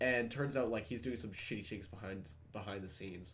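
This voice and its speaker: A man talks at a very fast pace with a fairly low pitch and ordinary pitch variation. Audible room echo surrounds his voice. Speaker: gaming content creator. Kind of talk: casual gaming chat.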